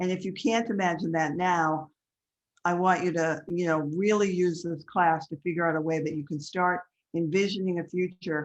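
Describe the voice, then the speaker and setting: A woman with a plain, everyday voice speaks at a moderate pace, fairly low in pitch and with fairly even intonation. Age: 60s. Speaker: life coach. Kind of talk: webinar class.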